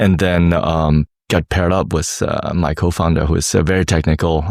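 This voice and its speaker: With a German accent, a man delivers a very deep, low pitch in a monotone, flat intonation at a fairly quick pace. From Germany, Hamburg. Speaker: tech startup founder. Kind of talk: interview. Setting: conference in Dubai. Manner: halting, many fillers.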